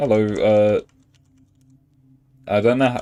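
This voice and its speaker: Over music in the background, a man of medium pitch speaks very slowly with fairly even intonation. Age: 20s. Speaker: gaming streamer. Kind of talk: casual live stream commentary. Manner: halting.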